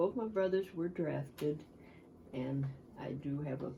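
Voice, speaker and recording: A woman's very deep, low voice with an American accent, somewhat breathy and dark and mellow in tone, at a moderate pace with ordinary pitch variation and audible room echo. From US Midwest, Cleveland, Ohio. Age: 80s+. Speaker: war-era eyewitness, grandmother. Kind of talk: oral history interview. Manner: reflective, with hesitations.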